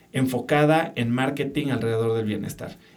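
With audible room echo, a man of medium pitch speaks fairly quickly and with ordinary pitch variation. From Mexico City. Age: 40s. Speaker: entrepreneur and podcaster. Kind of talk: interview conversation.

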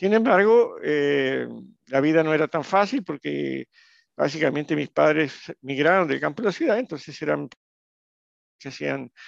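At a fairly slow pace, a man talks with a dry, close sound, no echo, and a quiet background. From Brazil. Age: 60s. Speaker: entrepreneur. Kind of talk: interview.

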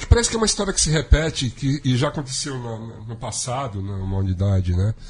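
Over noticeable background noise, the speaker talks at a very fast pace with lively intonation and big swings in loudness. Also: man, medium pitch for a man. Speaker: radio show host and musician. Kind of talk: casual talk show chat. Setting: studio.

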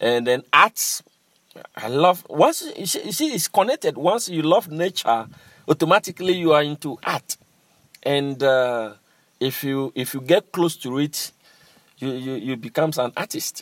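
A man with a Ghanaian accent speaks at a fairly slow pace. His fairly high voice carries lively intonation. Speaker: master drummer and cultural center director. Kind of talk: interview.

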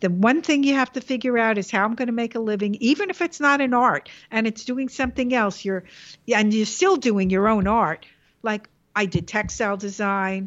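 A woman with a New York accent talks at a moderate pace in a fairly high pitch with ordinary pitch variation. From New York, the Bronx. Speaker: illustrator. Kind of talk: interview.

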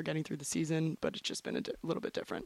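Recorded very cleanly with a silent background and a dry, close sound with no echo, a woman with an American accent speaks at a very deep, low pitch with fairly even intonation. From Florida, US. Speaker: college soccer player. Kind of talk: casual interview.

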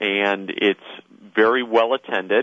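This man has an unremarkable speaking voice, medium in pitch for a man, with ordinary pitch variation. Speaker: inventor-community expert, conference speaker. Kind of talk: phone interview, explanatory talk. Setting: phone call.

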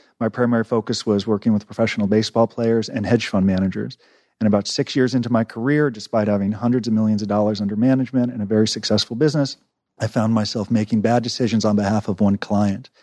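A man with a dark, mellow tone and fairly low pitch talks at a very fast pace with fairly even intonation. The sound is dry and close with no echo, against a quiet background. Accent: American. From Los Angeles, California. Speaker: prison consultant and author. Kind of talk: interview.

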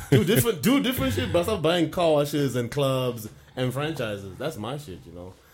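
Noticeable noise sits behind the voice. The talking is fairly quick. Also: man, medium pitch for a man. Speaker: podcast host. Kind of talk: casual chat. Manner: animated.

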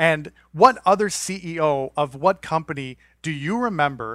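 In a very clean recording with a silent background, a man has an unremarkable speaking voice, a fairly high pitch and ordinary pitch variation. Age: 40s. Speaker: podcast host. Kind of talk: casual chat.

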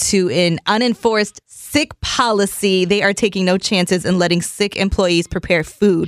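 In a very clean recording with a silent background and a dry, close sound with no echo, a woman with a medium pitch uses an ordinary speaking voice with ordinary pitch variation. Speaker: radio host. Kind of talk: radio DJ patter, reading texts and news. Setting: radio studio. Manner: chatty, upbeat.

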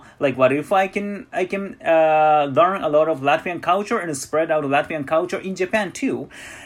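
A man's fairly high voice at a moderate pace, with ordinary pitch variation and hardly any pauses. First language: Japanese. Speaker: musician. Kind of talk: casual interview. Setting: online call.

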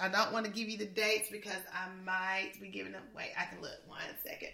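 Through noticeable background noise, a woman with a fairly high pitch and an animated tone speaks with ordinary pitch variation. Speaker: podcast co-host and education leadership trainer. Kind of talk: casual chat.

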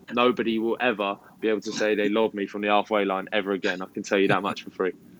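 With a southern English accent, a man talks at a fast pace in a fairly bright tone, his fairly low pitch showing little movement.

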